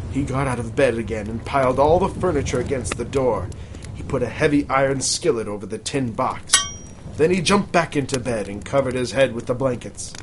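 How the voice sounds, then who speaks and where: Over noticeable background noise, a man with a medium pitch talks at a fairly quick pace in a dramatic tone with lively intonation. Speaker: podcast host. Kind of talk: ghost story reading aloud by candlelight; casual comedic banter. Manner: dramatic, hushed storyteller delivery, building suspense.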